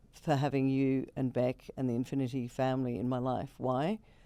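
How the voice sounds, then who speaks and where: This woman's pitch is very deep and low, and her tone is dark and mellow. She talks at a moderate pace. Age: 60s. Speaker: businesswoman in mining. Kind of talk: casual interview chat.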